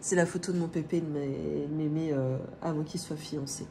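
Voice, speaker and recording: Audible room echo surrounds a woman with a very deep, low voice. She speaks at a fairly slow pace with ordinary pitch variation. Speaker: family budgeting vlogger. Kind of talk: casual vlog chat. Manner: hesitant, many filler sounds.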